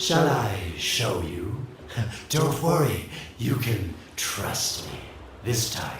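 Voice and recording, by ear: Using a put-on character voice, a man talks very slowly at a fairly low pitch with big pitch swings, and audible room echo in the recording.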